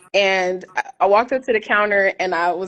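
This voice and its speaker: Medium pitch from a woman with an American accent. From California, Oakland. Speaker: expat sharing relocation experience. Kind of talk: podcast interview.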